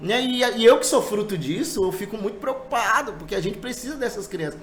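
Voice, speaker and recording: A man speaks at a high pitch and a fairly quick pace with an animated tone and lively intonation. Noticeable background noise and audible room echo are in the recording. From Brazil, Marabá (Pará). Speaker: church musician. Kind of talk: casual podcast interview.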